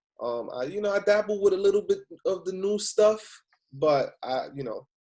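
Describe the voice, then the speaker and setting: With a New York accent, a man speaks at a moderate pace in a high-pitched, dark, mellow voice with lively intonation. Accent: New York (Bronx) English. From New York City, the Bronx. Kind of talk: casual chat.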